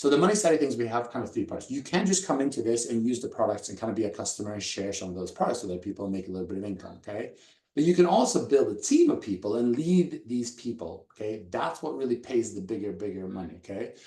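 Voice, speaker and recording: Racing at a very fast pace with hardly any pauses, a man speaks at a medium pitch in a dark, mellow, somewhat breathy tone, his pitch swinging very widely. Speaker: network marketing presenter. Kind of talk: sales pitch.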